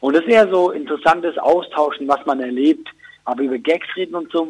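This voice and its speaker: At a fairly quick pace, a man talks with a high pitch in a dry, close sound with no echo. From Switzerland. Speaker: comedian. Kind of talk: casual chat.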